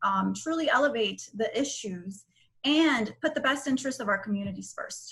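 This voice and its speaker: A woman speaks at a moderate pace in a fairly high voice. It is an unremarkable speaking voice. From Nicaragua, raised in South Florida. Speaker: lawyer and political candidate. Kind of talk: interview. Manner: fillers and repetitions, conversational.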